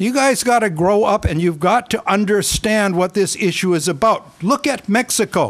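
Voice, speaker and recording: A man speaks at a fairly slow pace. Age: 60s. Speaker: county council member. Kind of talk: heated debate. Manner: animated.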